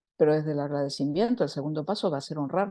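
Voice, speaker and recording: Recorded dry and close with no echo against a quiet background, a woman speaks at a very deep, low pitch with a dark, mellow tone and ordinary pitch variation. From Argentina. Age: 60s. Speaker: social activist and women's circle facilitator. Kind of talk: talk in an online women's circle. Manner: animated.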